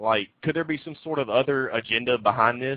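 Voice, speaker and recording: A man at medium pitch and a moderate pace, with a Southern US accent. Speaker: talk show host. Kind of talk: interview.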